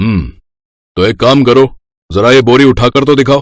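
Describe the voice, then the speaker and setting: Using a cartoonish character voice, a man speaks at a medium pitch and a fairly quick pace. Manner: brusque, practical.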